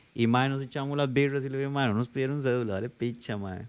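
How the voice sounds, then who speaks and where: Fairly quickly, a man talks at a medium pitch. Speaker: podcast co-host. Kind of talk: casual chat. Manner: animated.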